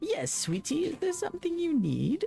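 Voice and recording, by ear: An extremely high-pitched, female-sounding put-on character voice at a moderate pace.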